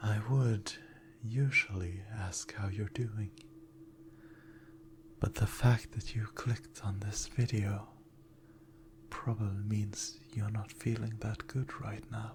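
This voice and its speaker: The tone is gentle, with ordinary pitch variation and a very slow pace. Long, frequent pauses come through over noticeable background noise. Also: man. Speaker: ASMR performer. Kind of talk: positive affirmations. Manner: soft-spoken, gentle, reassuring.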